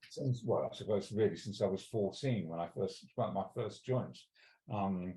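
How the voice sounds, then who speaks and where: Somewhat breathy, a man speaks at a fairly low pitch with a dark, mellow tone and ordinary pitch variation. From Wales. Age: 60s. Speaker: cannabis law reform campaigner. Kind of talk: interview. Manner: halting, many fillers and restarts.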